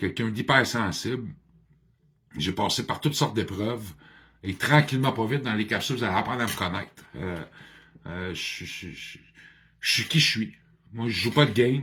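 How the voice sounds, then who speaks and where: A man with a bright, sharp tone speaks at a moderate pace and medium pitch with ordinary pitch variation. His loudness swings widely, and he leaves long, frequent pauses. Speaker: addiction counselor and motivational speaker. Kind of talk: personal video monologue. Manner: talkative; halting, many hesitations.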